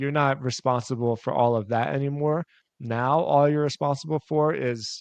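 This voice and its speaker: Against a quiet background, a man with an American accent speaks at a fairly high pitch, the sound dry and close with no echo. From Philadelphia, US. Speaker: entrepreneur, website owner. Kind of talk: interview, casual explanation. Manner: fast; animated.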